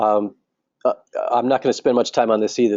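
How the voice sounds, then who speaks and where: A man speaks at a medium pitch. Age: 60s. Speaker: marriage counselor. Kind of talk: online training webinar. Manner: halting, many fillers.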